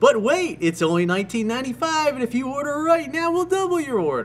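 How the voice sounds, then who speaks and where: Using a put-on character voice at an extremely high pitch, a man talks at a moderate pace over clear background noise. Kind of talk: infomercial. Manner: hard-sell pitch.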